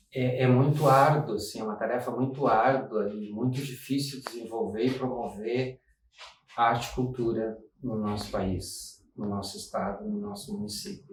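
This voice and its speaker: The man speaks at a moderate pace and medium pitch, with lively intonation. His is a normal speaking voice. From Rio Grande, Rio Grande do Sul, Brazil. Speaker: dance collective founder, artist. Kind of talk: documentary interview testimony.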